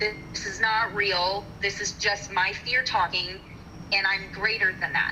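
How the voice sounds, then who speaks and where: Music plays behind a woman of medium pitch. Her intonation is monotone and flat, and her pace fairly slow. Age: 40s. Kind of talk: casual chat. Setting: live audio room. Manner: halting.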